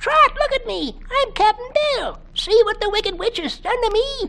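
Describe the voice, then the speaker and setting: A woman in a put-on character voice squeaks at an extremely high pitch with lively intonation and a moderate pace. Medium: read story. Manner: gruff, salty.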